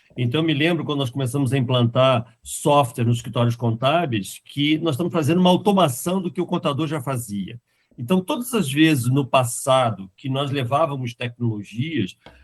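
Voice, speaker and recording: Somewhat breathy and fairly high-pitched, a man speaks at a moderate pace with ordinary pitch variation and hardly any pauses. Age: 60s. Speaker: software company founder. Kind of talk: podcast interview.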